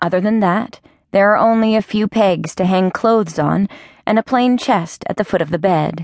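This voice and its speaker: With a plain, everyday voice, a woman speaks at a medium pitch and moderate pace, with ordinary pitch variation and a dry, close sound with no echo. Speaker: audiobook narrator. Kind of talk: dramatic audiobook narration, first person. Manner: tense, hushed, building to a menacing climax; measured, vivid, emotionally charged.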